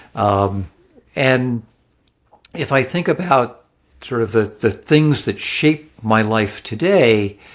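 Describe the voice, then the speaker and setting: With an American accent, the speaker talks very slowly using lively intonation. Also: man. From New York suburbs and New Jersey. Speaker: author and former Wall Street executive. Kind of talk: interview.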